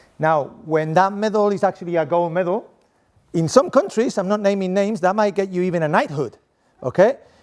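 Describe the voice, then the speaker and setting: A man's high, animated voice in a Spanish accent at a fairly quick pace with ordinary pitch variation. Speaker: sport coaching professor. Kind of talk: conference presentation.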